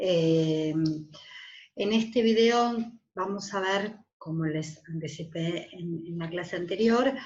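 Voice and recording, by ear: Amid audible room echo, a woman speaks slowly at a fairly low pitch, with ordinary pitch variation and a slightly mellow tone.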